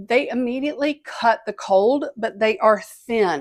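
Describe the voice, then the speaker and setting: A woman speaks in an ordinary speaking voice at a moderate pace, her fairly high pitch moving with ordinary variation. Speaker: travel vlogger. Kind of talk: tutorial.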